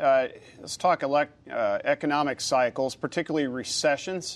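A man with a normal speaking voice, fairly high in pitch and fairly quick in pace, on a very clean recording with a silent background. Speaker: moderator and trade association president. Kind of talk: moderated panel discussion. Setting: studio.

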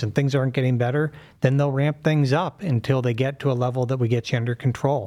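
On a very clean recording with a silent background, a man speaks at medium pitch. He has a plain, everyday voice with fairly even intonation. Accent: American. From Pittsburgh, US. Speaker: surgeon and professor. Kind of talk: medical explanation in interview.

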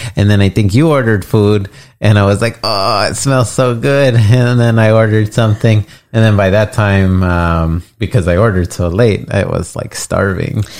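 In a very clean recording with a silent background, a man speaks at a fairly slow pace and fairly low pitch, with ordinary pitch variation. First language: English (speaking Spanish). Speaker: podcast host's husband. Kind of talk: casual chat. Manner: hesitant.

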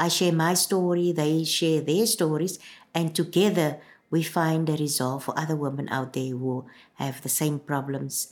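This woman has a very deep, low pitch and a South African accent. She talks at a moderate pace. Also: fairly even intonation. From South Africa, Cape Town (Bishop Lavis). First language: Afrikaans. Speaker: community radio presenter and manager. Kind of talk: interview testimony.

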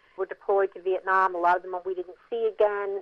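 The speaker has an American accent and an unremarkable speaking voice. The pace is fairly quick. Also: woman. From New Jersey (Mount Holly). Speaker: film producer. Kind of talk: interview.

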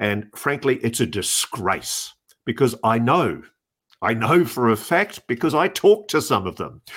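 A man with an Australian accent speaks at medium pitch and a fairly slow pace in an animated tone with very wide pitch swings. The recording is very clean, with a silent background. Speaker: podcast co-host and journalist. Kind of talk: casual chat.

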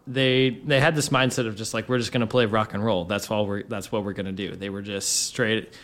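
This is an unremarkable speaking voice, a man's at medium pitch with ordinary pitch variation. He goes at a fairly quick pace with hardly any pauses. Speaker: guest. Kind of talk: casual chat, guest talking music. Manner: relaxed, fast, rambling.

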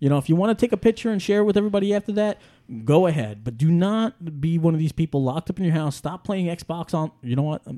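In a very clean recording with a silent background and a dry, close sound with no echo, a man with a New York accent talks very fast at a high pitch, with lively intonation and a dark, mellow tone. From New York City, Staten Island. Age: 30s. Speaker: podcast host. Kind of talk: casual chat.

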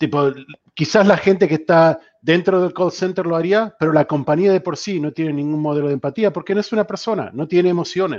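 An unremarkable speaking voice from a man, at a fairly quick pace with ordinary pitch variation. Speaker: customer experience strategist. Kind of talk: panel discussion.

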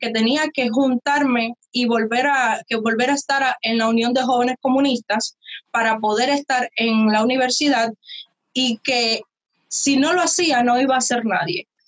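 A woman speaks in a high voice with a Cuban accent and ordinary pitch variation. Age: young. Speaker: youtuber. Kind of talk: interview.

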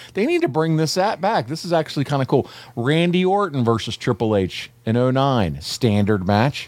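A man talks in a fairly high pitch at a moderate pace. His tone is animated, with very wide pitch swings. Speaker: podcast host. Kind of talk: casual chat.

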